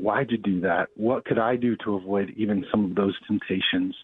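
A man with an American accent talks at a fairly quick pace in an ordinary speaking voice, his medium pitch carried by fairly even intonation. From Denver, Colorado. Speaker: pastor. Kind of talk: interview.

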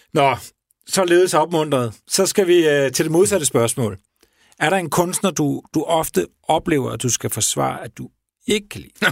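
A man with a plain, everyday voice talks at a fairly slow pace and a fairly high pitch, with lively intonation. His loudness swings widely, and the sound is dry and close with no echo. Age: 40s. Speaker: radio podcast host. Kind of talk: interview.

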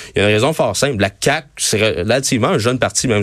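Using an ordinary speaking voice, a man talks at a fairly quick pace in a fairly low pitch with ordinary pitch variation. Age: 20s. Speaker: youth wing leader of a political party. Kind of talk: radio interview. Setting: studio.

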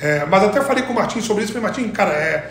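A man speaking at a very fast pace, with audible room echo and noticeable background noise. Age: 40s. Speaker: sports marketing executive. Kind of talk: interview.

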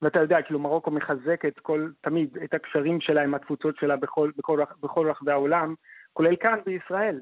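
A man speaks in an ordinary speaking voice at a fairly high pitch. His pace is moderate and his intonation fairly even. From Morocco, Fez. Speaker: doctoral student in anthropology. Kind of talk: radio interview.

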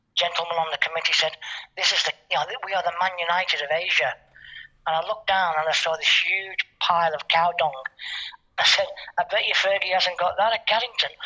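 This man talks at a fairly quick pace, broken by long, frequent pauses. His voice is high, with fairly even intonation and very even loudness. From Liverpool, England. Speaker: football coach. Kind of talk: radio interview.

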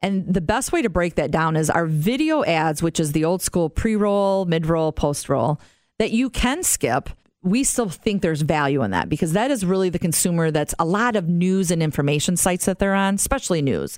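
A woman speaks in a plain, everyday voice at a moderate pace, her fairly low pitch moving with lively intonation and very even loudness over a very clean recording with a silent background. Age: 50s. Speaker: podcast host and marketing executive. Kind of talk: casual chat.

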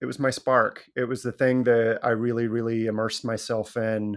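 A man speaks at medium pitch with an Edinburgh accent. The recording is very clean, with a silent background. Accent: Scottish, Edinburgh area. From Scotland. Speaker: criminal justice reform advocate. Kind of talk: interview conversation.

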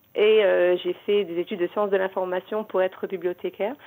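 A woman speaks at a moderate pace and medium pitch in an ordinary speaking voice. The recording is very clean, with a silent background. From Morocco. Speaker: novelist and librarian. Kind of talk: radio interview.

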